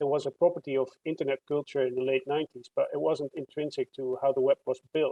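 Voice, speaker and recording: A man with a Dutch accent, fairly high-pitched, monotone and flat, at a very fast pace with hardly any pauses. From Netherlands. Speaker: computer science researcher. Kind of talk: interview.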